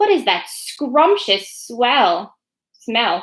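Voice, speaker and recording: Putting on a character voice, a woman speaks high-pitched with very wide pitch swings. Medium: read story. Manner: sly, crooning.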